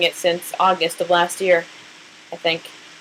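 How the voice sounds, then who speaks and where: A woman with a Southwestern US accent and a fairly low pitch. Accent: American Southwest. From New Mexico. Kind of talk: casual talk to camera.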